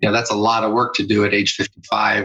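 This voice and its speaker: With music in the background, a man speaks at a fairly quick pace in a monotone, flat intonation. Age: 60s. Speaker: family physician and former pro football player. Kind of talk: interview. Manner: halting, many fillers.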